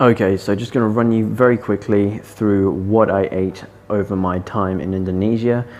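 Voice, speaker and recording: A man speaks in a normal speaking voice, his pitch fairly low. His intonation stays fairly even at a moderate pace. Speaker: fitness vlogger. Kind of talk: vlog narration. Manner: casual.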